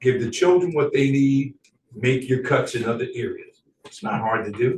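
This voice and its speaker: Somewhat breathy, a man's voice runs fairly high in pitch. He keeps a moderate pace and ordinary pitch variation. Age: 60s. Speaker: educator speaking at public comment. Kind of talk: public comment.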